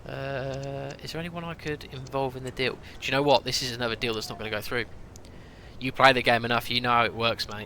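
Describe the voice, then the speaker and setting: A man with a British accent, bright and sharp in tone, at a fairly quick pace. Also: medium pitch for a man, fairly even intonation. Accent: noticeable British. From UK. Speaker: gaming streamer. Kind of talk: live stream commentary. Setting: live stream. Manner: casual, chatty.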